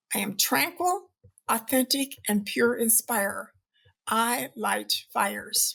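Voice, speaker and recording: Her pace is very slow, her intonation lively. This woman's fairly high voice has a bright, sharp tone with vocal fry. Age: 70s. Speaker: behavior scientist and author. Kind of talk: podcast interview answer.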